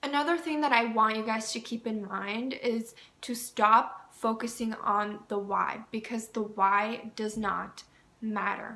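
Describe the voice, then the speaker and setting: A woman speaks with an ordinary speaking voice at a fairly high pitch. Her pace is fairly slow and her intonation fairly even. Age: 20s. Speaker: mental health professional and dating advice vlogger. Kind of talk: casual dating advice talk to camera. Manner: warm, chatty.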